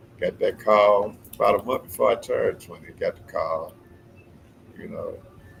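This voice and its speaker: Moderate-paced male speech, big swings in loudness, noticeable background noise behind it. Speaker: community activist, former corrections officer. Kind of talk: casual interview chat. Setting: live stream.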